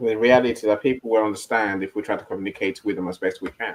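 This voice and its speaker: A man talks at a fairly quick pace. He speaks in a South London accent. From Nigeria. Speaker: live stream host. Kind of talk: casual panel discussion. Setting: online live stream. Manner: halting, many repetitions.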